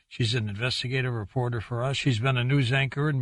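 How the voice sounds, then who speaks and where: A man talks at a very fast pace in a somewhat breathy voice. His pitch sits in the medium range, with fairly even intonation. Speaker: radio show host. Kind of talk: radio show host introduction.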